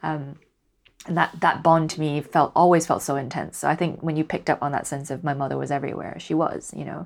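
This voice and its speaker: A woman with a Cantonese accent talks at a fairly quick pace, her very deep, low pitch carrying vocal fry and fairly even intonation. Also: very clean recording, silent background. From Hong Kong. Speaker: poet. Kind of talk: interview conversation.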